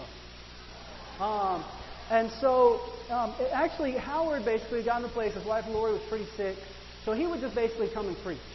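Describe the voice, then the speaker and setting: A man speaks at an extremely high pitch. Noticeable background noise and audible room echo fill the recording. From Argentina. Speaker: pastor. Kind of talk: sermon.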